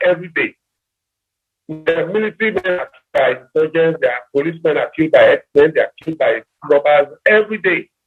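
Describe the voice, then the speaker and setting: Music plays in the background as a man talks very fast with fairly even intonation. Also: big swings in loudness. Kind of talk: radio talk show discussion.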